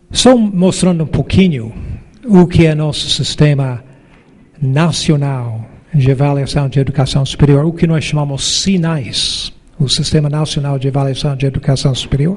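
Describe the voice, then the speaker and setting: Audible room echo surrounds a man speaking at a moderate pace with a fairly high pitch and ordinary pitch variation. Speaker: professor and education council president. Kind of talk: conference talk.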